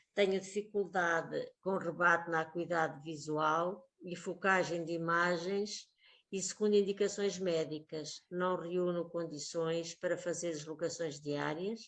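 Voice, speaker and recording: A woman's fairly low, monotone voice at a fairly slow pace, with hardly any pauses. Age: 60s. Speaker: schoolteacher. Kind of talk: personal testimony.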